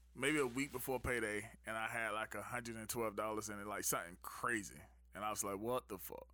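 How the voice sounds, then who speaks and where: A man with an American accent speaks very fast at a medium pitch. His tone is bright and sharp, his intonation fairly even. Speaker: navy veteran and music maker. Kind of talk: casual chat. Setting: studio.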